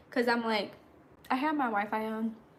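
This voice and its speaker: A woman's bright, sharp voice with audible room echo. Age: 20s. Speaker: content creator. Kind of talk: casual livestream chat. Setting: livestream. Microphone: Wi-Fi cutting out.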